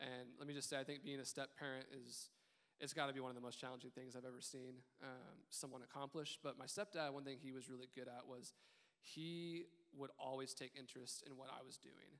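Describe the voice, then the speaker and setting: A man with a plain, everyday voice and an American accent talks at a fairly quick pace, medium in pitch, with fairly even intonation. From Richardson, Texas. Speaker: church member. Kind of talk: panel discussion. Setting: church.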